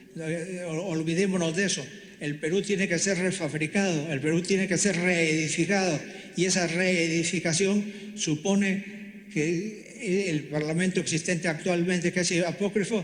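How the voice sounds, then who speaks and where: Over noticeable background noise, a man speaks fairly slowly in a high voice with fairly even intonation. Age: 80s+. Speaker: constitutional lawyer and author. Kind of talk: public speech. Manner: halting, with repetitions and restarts; impassioned.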